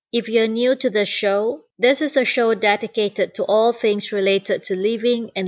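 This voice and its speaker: A woman with an ordinary speaking voice talks at a moderate pace, her pitch fairly high and her intonation fairly even. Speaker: podcast host. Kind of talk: podcast intro.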